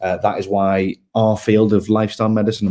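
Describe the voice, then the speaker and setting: A man speaks in a fairly low pitch with a dark, mellow tone and monotone, flat intonation. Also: very clean recording, silent background. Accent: Liverpool. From northern England, Liverpool. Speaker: health tech startup co-founder. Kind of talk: pitch presentation.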